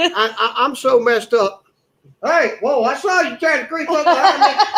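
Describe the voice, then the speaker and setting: Speaking in a Southern US accent at a moderate pace, a man uses an extremely high pitch with very wide pitch swings. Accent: Southern US, which he says is put on. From raised in Germany and New Jersey (Army family). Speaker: live stream guest. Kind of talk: casual chat.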